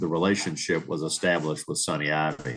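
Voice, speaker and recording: This man speaks with a Louisiana accent. His pitch is very deep and low, and his pace is moderate. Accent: Louisiana Southern US. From New Orleans area, Louisiana. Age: 70s. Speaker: retired marine business owner. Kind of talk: interview. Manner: halting, many fillers.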